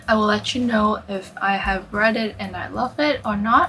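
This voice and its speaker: A woman is speaking at a fairly slow pace. Noticeable background noise is present. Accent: non-native. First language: not English. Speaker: book YouTuber. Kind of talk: casual talk to camera.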